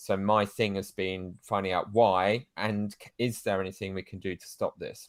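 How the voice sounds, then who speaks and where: A man with a British accent and a fairly low pitch is heard on a very clean recording with a silent background. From Britain. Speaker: podcaster. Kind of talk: interview.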